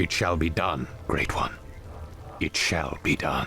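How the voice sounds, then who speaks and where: Over clear background noise, a man puts on a character voice with a very deep, low pitch at a fairly slow pace. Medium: video game. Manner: grave, imposing.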